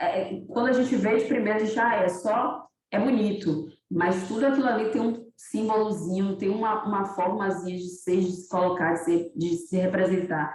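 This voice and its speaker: A somewhat breathy woman speaks at medium pitch and a moderate pace with ordinary pitch variation, and the room echo is audible. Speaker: museologist and lecturer. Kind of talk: online lecture.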